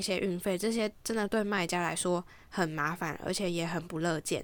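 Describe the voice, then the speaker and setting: A woman talks at a moderate pace with fairly even intonation. The recording is very clean, the background silent. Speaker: podcast host and home organizing consultant. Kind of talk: scripted narration reading listener stories. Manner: languid, lazier-sounding than usual.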